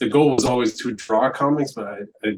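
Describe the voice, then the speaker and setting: Speaking with a French accent, a man lets his pitch vary in an ordinary way. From rural Alberta, Canada (Francophone village north of Edmonton). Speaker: comic book artist. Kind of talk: casual interview.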